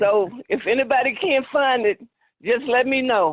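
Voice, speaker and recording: A high-pitched woman with an American accent and lively intonation. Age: 70s. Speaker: family member. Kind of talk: casual chat. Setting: video call.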